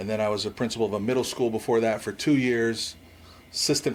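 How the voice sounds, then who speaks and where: At a very fast pace, a man with an American accent talks in a fairly low pitch with fairly even intonation. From Washington State. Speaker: high school principal. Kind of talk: podcast interview.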